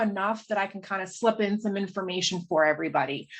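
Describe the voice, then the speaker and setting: The pace is very fast. This woman's intonation stays lively throughout. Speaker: state agency policy presenter. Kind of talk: presentation. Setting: video call.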